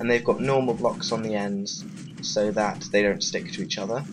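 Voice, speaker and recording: A man talks at a moderate pace with very wide pitch swings. Noticeable background noise runs under him. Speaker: Minecraft redstone tutorial creator. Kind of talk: casual gameplay tutorial narration. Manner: hesitant, many filler words.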